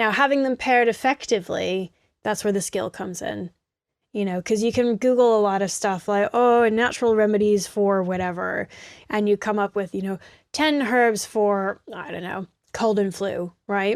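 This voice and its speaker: In a very clean recording with a silent background and a dry, close sound with no echo, a woman with an American accent and medium pitch speaks at a moderate pace with ordinary pitch variation, an ordinary speaking voice. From United States. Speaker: herbalist. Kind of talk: interview. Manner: casual, with fillers.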